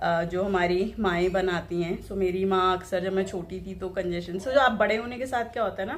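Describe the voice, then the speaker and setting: A woman speaks at a medium pitch with fairly even intonation, and audible room echo surrounds her voice. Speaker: vlogger. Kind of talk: casual vlog talk. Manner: hesitant, many fillers.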